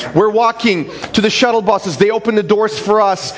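The pace is moderate and the pitch varies in an ordinary way. Background noise is noticeable. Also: man. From former Soviet Union. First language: Russian. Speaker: pastor. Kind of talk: sermon. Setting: church.

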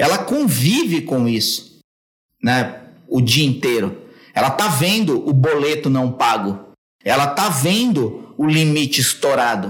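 A man's somewhat breathy, fairly high voice at a fairly slow pace, with very wide pitch swings, very even loudness and audible room echo. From São Paulo, Brazil. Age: 40s. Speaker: copywriting expert. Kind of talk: podcast interview.

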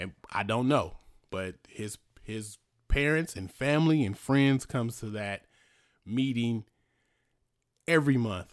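In an American accent, a man at a medium pitch talks at a fairly slow pace with long, frequent pauses, lively intonation and big swings in loudness, on a very clean recording with a silent background. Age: 40s. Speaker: podcast host and rapper. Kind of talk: solo casual monologue. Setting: home studio. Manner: halting.

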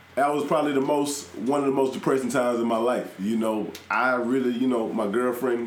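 A man at a medium pitch and fairly quick pace, with very even loudness and hardly any pauses, over noticeable background noise. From South Carolina, moved to Houston in junior high. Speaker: professional wrestler. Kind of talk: casual chat.

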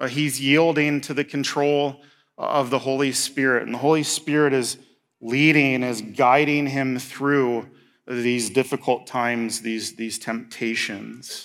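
Speaking fairly slowly with a US Midwestern accent, a man keeps a medium pitch and fairly even intonation. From Indiana, US Midwest. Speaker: pastor. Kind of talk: sermon.

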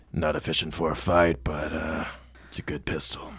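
In a put-on character voice, a man speaks very deep and low, raspy and serious, monotone and flat, at a moderate pace. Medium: actual play. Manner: terse, serious.

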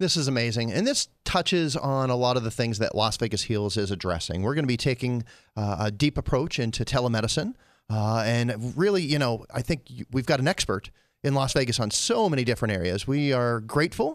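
A man with an American accent and an ordinary speaking voice, medium pitch, lively intonation and a fairly quick pace, on a very clean recording with a silent background. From Pennsylvania. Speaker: talk show host. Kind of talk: interview. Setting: studio.

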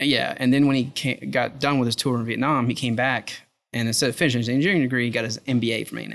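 A man speaks very fast at a medium pitch, with vocal fry and fairly even intonation. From South Louisiana. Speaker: oil company operations manager. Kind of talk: interview conversation. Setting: restaurant dining room.

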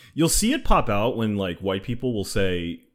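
On a very clean recording with a silent background, a man with an American accent speaks fairly quickly in an unremarkable speaking voice with a fairly low pitch. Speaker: podcast co-host. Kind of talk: casual discussion.

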